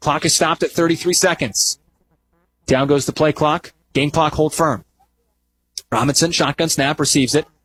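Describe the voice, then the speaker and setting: This man has a normal speaking voice, fairly high in pitch. He talks at a moderate pace in a dry, close sound with no echo. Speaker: sports broadcaster. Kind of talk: radio football play-by-play.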